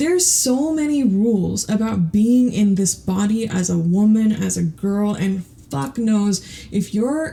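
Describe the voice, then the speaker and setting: A woman's somewhat breathy, dark and mellow voice at medium pitch, with ordinary pitch variation and a fairly slow pace. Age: 30s. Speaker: podcast host. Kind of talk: casual monologue. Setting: home closet. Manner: rambling, hesitant with repetitions.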